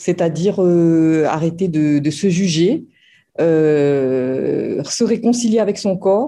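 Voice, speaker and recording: Her tone is dark and mellow, and her intonation is lively. This woman is heard against a quiet background. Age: 50s. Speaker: former program participant. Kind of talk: testimony. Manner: halting, many hesitations.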